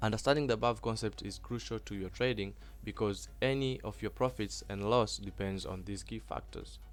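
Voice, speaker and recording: A man speaks fairly quickly while music runs in the background. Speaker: forex trading teacher. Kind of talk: tutorial. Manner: fast; halting.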